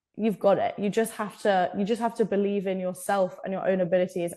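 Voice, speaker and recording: At a fairly quick pace, a woman with an English accent speaks in a dark, mellow tone at medium pitch, her intonation monotone and flat. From England. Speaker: college rowing athlete. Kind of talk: podcast interview.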